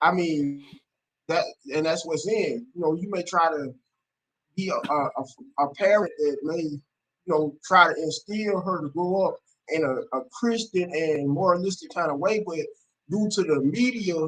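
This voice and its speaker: Pitched high for a man, this male voice breaks often into long pauses. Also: ordinary pitch variation, moderate pace. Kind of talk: livestream discussion. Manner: halting.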